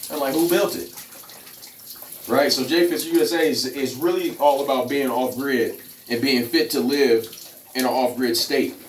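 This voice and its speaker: A man speaks at a moderate pace and fairly high pitch, with ordinary pitch variation and long, frequent pauses. Noticeable background noise and audible room echo fill the recording. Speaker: fitness and off-grid vlogger. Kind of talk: casual vlog monologue. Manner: animated.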